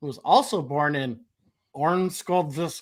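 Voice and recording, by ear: Using a put-on character voice with a Russian accent, a man sounds strained as he speaks fairly slowly at a fairly high pitch.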